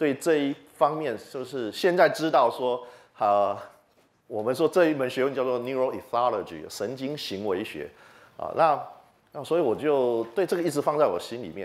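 A man with a Taiwanese accent talks at a moderate pace and medium pitch, with lively intonation. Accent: Taiwanese Mandarin. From Taiwan, Chiayi. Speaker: entomology professor; university professor, lecturer. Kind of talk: popular science lecture. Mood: friendly, animated. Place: hall. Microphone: handheld.

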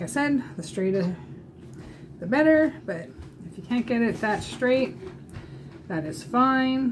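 A woman speaks at a fairly slow pace. Light background noise sits behind her. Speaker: makeup demonstrator. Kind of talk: tutorial. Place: home room. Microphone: webcam.

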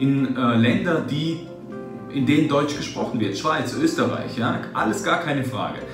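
Against clear music in the background and audible room echo, a man speaks with a fairly high pitch. His pace is fairly slow, with ordinary pitch variation. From Germany. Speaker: translator, interpreter, voice actor, German teacher. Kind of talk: interview answer. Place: office.

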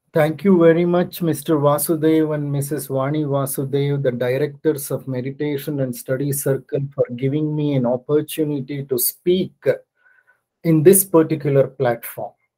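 This man's tone is dark and mellow, somewhat breathy, with fairly even intonation. The background is quiet. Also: moderate pace. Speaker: guest lecturer. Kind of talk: lecture. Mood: grateful, calm. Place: home room.

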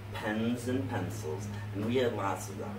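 A man with a fairly low voice speaks at a fairly slow pace amid noticeable background noise. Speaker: pen seller. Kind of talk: casual vlog chat.

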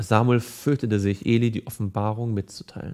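Quiet background behind a man speaking. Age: 30s. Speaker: evangelist. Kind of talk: Bible teaching / devotional. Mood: calm, earnest. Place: studio.

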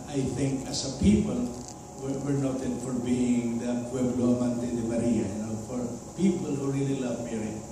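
A man at a moderate pace with fairly even intonation, strong room echo and noticeable background noise. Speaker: clergyman preaching. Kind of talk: sermon. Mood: warm, smiling. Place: hall.

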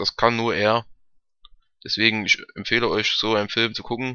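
Pitched fairly low, a man speaks with a bright, sharp tone that is also clear and smooth, and his pitch moves little.

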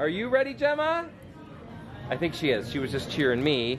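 A man speaks over clear music playing in the background. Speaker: family vlogger father. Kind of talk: casual vlog chat. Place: hall. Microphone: phone near.

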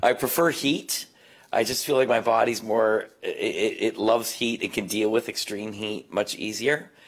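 Over a quiet background, a man with a Canadian accent talks at a moderate pace. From Canada. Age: 50s. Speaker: explorer, ultra distance runner; guest. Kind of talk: panel talk. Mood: relaxed, friendly, smiling. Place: stage. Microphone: handheld.

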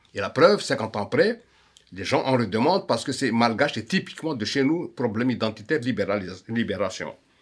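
With a Malagasy accent, a man talks at a moderate pace with lively intonation over a quiet background. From Madagascar. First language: Malagasy (speaking French). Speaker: musician and songwriter. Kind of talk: conference talk. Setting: auditorium. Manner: halting. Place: home room.

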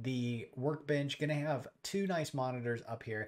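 With a quiet background behind him, a man is talking. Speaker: homelab youtuber. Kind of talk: tutorial explanation. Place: home room.

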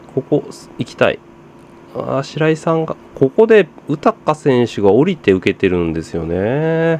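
Over noticeable background noise, a man with a fairly high pitch talks at a fairly slow pace, swinging very widely in pitch, in a dry, close sound without echo. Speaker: football commentary youtuber. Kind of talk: casual match watch-along commentary.

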